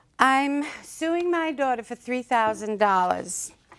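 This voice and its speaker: A woman with a Brooklyn accent speaks at a very slow pace in a fairly high pitch. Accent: New York (Brooklyn). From Brooklyn, New York. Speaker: mother suing her daughter. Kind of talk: courtroom testimony.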